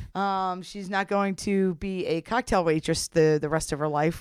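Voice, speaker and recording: An unremarkable speaking voice from a woman with an American accent, fairly even intonation and a moderate pace, in a dry, close sound with no echo. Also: very clean recording, silent background. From US, South Jersey. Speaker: women's college basketball head coach. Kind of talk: interview.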